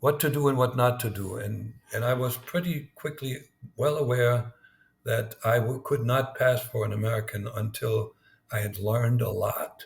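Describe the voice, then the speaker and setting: With a slight German accent, a man talks at medium pitch in a somewhat breathy voice with fairly even intonation. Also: moderate pace. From East Germany. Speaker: former spy. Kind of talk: interview. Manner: halting, with many repetitions.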